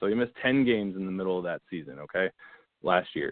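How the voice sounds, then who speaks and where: A man with an ordinary speaking voice, fairly low pitch, ordinary pitch variation and an American accent. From Northern Virginia (Manassas), US. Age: 30s. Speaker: fantasy football analyst. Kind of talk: casual podcast interview.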